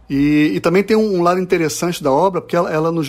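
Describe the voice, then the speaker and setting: Fairly quick speech from a man with a high voice and ordinary pitch variation. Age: 40s. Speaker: comics publisher. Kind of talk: interview. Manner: halting.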